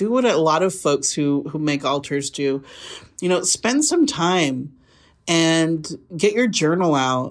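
A woman with a normal speaking voice talks at a fairly slow pace, her fairly low pitch moving in lively intonation, on a very clean recording with a silent background. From Burley, Idaho, Mexican-American. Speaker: city council member. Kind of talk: casual interview.

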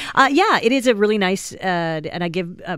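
A woman with an ordinary speaking voice talks at a fairly quick pace with lively intonation on a very clean recording with a silent background. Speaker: comedy festival organizer and comic. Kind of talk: casual radio chat. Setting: studio.

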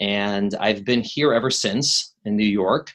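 A fairly low-pitched man's voice with an American accent and fairly even intonation. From Chicago, US Midwest. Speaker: maternal fetal medicine doctor. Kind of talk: interview.

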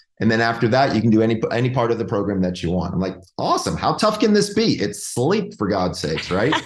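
Speaking at a very fast pace with hardly any pauses, a man in an American accent is heard with audible room echo. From Georgia, US South. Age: 50s. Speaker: clinical psychologist, sleep specialist. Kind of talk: interview. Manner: animated.

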